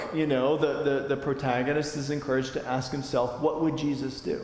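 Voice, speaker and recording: An American accent marks this man's fairly high, monotone, flat delivery at a moderate pace, with audible room echo and noticeable background noise. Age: 40s. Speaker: adult forum teacher at church. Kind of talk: lecture. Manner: casual, with many fillers.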